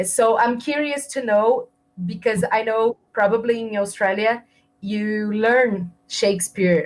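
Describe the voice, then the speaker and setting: A speaker in a Portuguese accent talks at a fairly slow pace. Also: woman. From Brazil. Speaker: interviewer. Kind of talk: interview.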